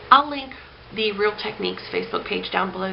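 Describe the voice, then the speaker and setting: A woman is recorded with audible room echo and noticeable background noise. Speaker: beauty vlogger and makeup artist. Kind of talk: product review. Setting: home, in front of packing mess. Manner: animated.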